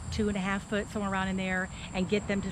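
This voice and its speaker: A woman at medium pitch, with noticeable background noise and audible room echo. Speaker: gardening vlogger. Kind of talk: tutorial. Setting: outdoors. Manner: fast.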